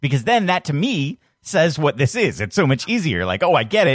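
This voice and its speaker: Recorded very cleanly against a silent background, a man's voice swings very widely in pitch, with a dry, close sound and no echo. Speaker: podcast host. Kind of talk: casual chat.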